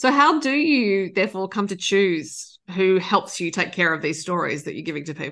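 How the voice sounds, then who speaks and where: A woman in an Australian accent, medium pitch with very wide pitch swings, a moderate pace and hardly any pauses, over a quiet background. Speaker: podcast interviewer. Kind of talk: interview.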